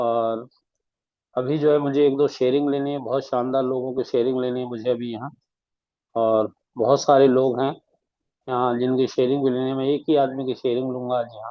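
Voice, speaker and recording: Monotone and flat, a man's medium-pitched voice goes at a moderate pace. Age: 70s. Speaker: online meeting moderator. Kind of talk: moderating online group meeting.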